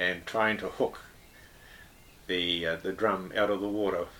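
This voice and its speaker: A man with a New Zealand accent speaks at a moderate pace in a fairly low pitch, his tone bright and sharp and his intonation fairly even. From New Zealand, Northland. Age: 70s. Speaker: retired air force and aviation engineer. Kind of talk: interview, casual reminiscence. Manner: hesitant, with frequent fillers.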